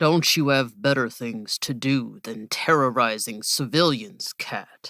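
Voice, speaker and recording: In a put-on character voice, a woman speaks at a fairly slow pace in a very deep, low pitch on a very clean recording with a silent background. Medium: read story.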